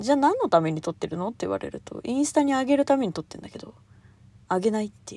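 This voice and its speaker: A woman talks at a very fast pace in a fairly high pitch with a dark, mellow tone. Her pitch swings very widely, and her loudness shifts a great deal. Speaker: solo podcast host. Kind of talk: casual solo monologue. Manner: high-energy, animated; frequent laughter.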